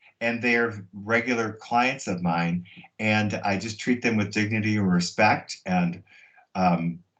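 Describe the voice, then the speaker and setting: With a plain, everyday voice, a man talks at a fairly slow pace with a fairly low pitch and fairly even intonation. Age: 60s. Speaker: hairstylist. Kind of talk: interview.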